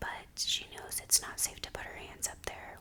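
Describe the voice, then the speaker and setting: A woman whispering against noticeable background noise. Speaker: ASMR creator and parent of a toddler. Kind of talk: ASMR baking voiceover, whispered, casual talk to camera. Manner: whispered, soft, friendly.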